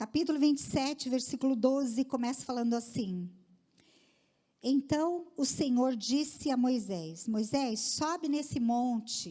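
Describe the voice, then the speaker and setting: A woman's high-pitched voice, dark and mellow in tone, at a very even loudness. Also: lively intonation, fairly slow pace. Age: 60s. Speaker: women's ministry speaker. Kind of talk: sermon.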